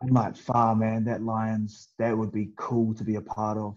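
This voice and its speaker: This man has a New Zealand accent and a dark, mellow tone. He speaks fairly slowly. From New Zealand (Wellington). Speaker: professional rugby player. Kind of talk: casual chat.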